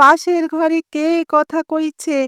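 A woman's put-on character voice, squeaky and extremely high, flat and monotone, in a dry, close sound with no echo. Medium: read story. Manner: plaintive, repetitive calling.

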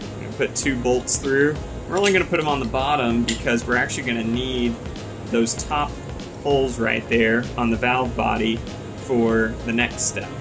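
A man at a moderate pace over clear music in the background. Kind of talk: tutorial. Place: home room.

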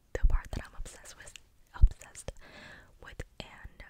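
Over loud background noise, a woman whispers at a fairly quick pace. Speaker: content creator. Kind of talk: casual vlog chat, soft ASMR-style talk. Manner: close-mic articulated ASMR whisper. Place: home room. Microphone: studio mic.

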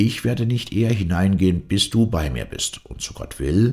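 At a moderate pace, a man with a very deep, low pitch and vocal fry speaks with very wide pitch swings. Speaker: audiobook narrator. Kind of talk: dramatic narration of a fairy tale, reading aloud with character voices.

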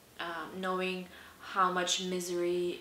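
The clip has light background noise and audible room echo. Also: woman. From southern Belarus. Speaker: personal storyteller. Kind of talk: personal story told to camera. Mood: serious, reflective, hesitant. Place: home room.

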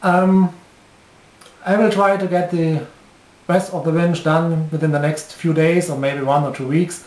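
Pausing long and often, a man with a German accent speaks at a high pitch with fairly even intonation. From Germany. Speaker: hobbyist model engineer. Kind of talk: video commentary. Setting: workshop. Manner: halting.

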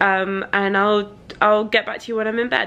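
The speaker is a woman with a British accent. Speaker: YouTuber; vlogger. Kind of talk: product review vlog. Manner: casual, with many fillers. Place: home room. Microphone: phone near.

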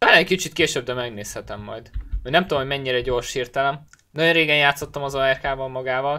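A man's bright, sharp voice at medium pitch, fairly quick in pace, with fairly even intonation. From Hungary. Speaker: gaming streamer. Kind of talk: live gameplay commentary. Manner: casual, thinking aloud. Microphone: headset.

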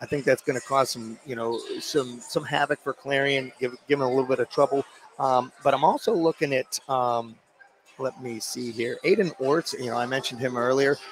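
With an enthusiastic tone, a man talks at a moderate pace over light background noise, the sound dry with no echo. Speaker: basketball color commentator. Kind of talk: live sports commentary. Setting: courtside at a high school gym. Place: hall.

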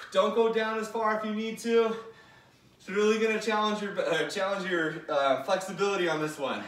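At a moderate pace, a high-pitched man speaks with audible room echo. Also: ordinary pitch variation. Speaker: fitness instructor. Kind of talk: workout instruction. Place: home room. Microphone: camera far.

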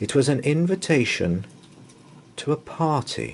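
A man's medium-pitched voice with a slightly husky edge and vocal fry, fairly slow, with big pitch swings

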